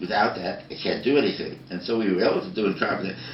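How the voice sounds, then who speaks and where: Audible room echo and noticeable background noise surround the voice. A man with a fairly low pitch speaks with lively intonation. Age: 80s+. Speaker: design educator. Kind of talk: interview.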